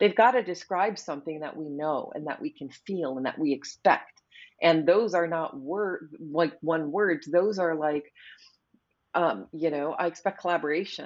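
A woman's plain, everyday voice, fairly low in pitch, with a moderate pace and ordinary pitch variation. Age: 50s. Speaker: product designer and author. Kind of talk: interview conversation.

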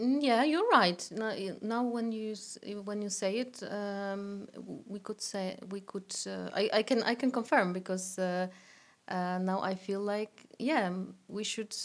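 Against a quiet background, the speaker uses a Polish accent, a fairly slow pace, and fairly even intonation. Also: woman. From Poland. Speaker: teacher. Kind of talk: casual interview chat. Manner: halting, many fillers.

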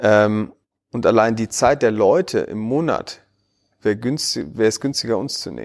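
A man at a moderate pace, with big swings in loudness, on a very clean recording with a silent background. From Berlin, Germany. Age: 30s. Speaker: tech entrepreneur. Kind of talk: podcast interview. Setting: in person in Berlin.

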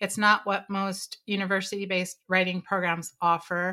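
A woman's bright, sharp tone at medium pitch and moderate pace, on a very clean recording with a silent background. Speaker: writing expert. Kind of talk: interview.

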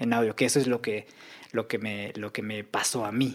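Someone talks at a moderate pace with a Mexican accent. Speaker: audio engineer and sound editor. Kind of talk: casual interview.

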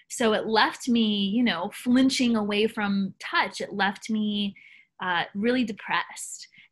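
Somewhat breathy, a woman talks at a very slow pace with a fairly high pitch and ordinary pitch variation. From US South. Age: young. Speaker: soul coach. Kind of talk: interview.

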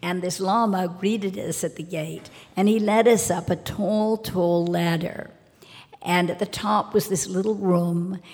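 At a fairly slow pace, a woman with a normal speaking voice talks at a medium pitch with fairly even intonation. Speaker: socialite. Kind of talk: live storytelling. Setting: stage with audience.

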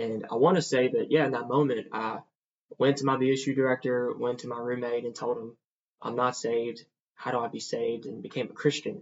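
A man talks at a fairly quick pace in a Southern US accent. His intonation stays fairly even. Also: medium pitch for a man. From US South, Mississippi. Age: 20s. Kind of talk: testimony.

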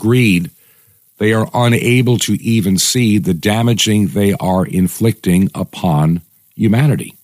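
A man speaks at a moderate pace with an unremarkable speaking voice. His pitch sits fairly low, with ordinary variation, and the sound is dry and close with no echo. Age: 60s. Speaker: radio host. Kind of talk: opinion monologue.

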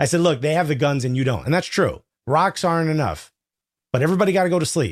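Recorded very cleanly against a silent background, a man talks at a very fast pace in a fairly high pitch with vocal fry, very even loudness and ordinary pitch variation. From US Northeast (Newark, New Jersey), Cuban American family. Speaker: comedian. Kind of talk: casual chat.

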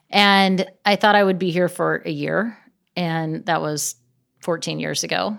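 A woman with an American accent at a fairly slow pace, in a very clean recording with a silent background. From US Pacific Northwest (Gig Harbor, near Seattle). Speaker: venture capital investor. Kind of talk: interview. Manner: laughs often.

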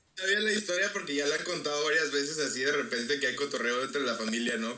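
With a Mexican accent, a man talks at a very fast pace with ordinary pitch variation. Audible room echo and noticeable background noise are present. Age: 20s. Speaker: music student. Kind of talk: casual chat.

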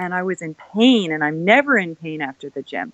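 This is a woman with a plain, everyday voice, speaking with a Canadian accent. She keeps a moderate pace and ordinary pitch variation. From Canada. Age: 40s. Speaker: keto advocate with epilepsy. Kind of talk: interview conversation. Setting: remote call.

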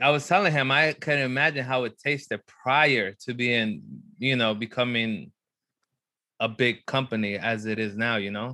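A man speaks at medium pitch with a bright, sharp tone. His pitch varies in an ordinary way, and his pace is moderate. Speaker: podcast co-host. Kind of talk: casual chat.

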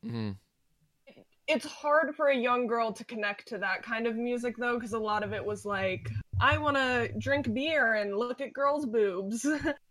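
A woman speaks at a moderate pace in a bright, sharp tone, fairly high in pitch with ordinary pitch variation. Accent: American. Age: 20s. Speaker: podcast guest, music fan. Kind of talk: casual chat.

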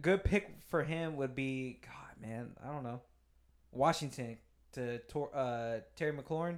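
With a plain, everyday voice, a man speaks at a fairly slow pace and a fairly high pitch, his pitch varying an ordinary amount while his loudness swings widely, on a very clean recording with a silent background. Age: 20s. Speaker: podcast guest. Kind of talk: casual chat. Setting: home studio.

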